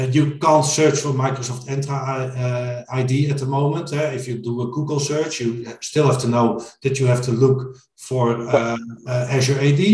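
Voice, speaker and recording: A man talks at a fairly slow pace in a medium pitch, his intonation monotone and flat, with audible room echo around him. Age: 40s. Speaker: IT consultant. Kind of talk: interview.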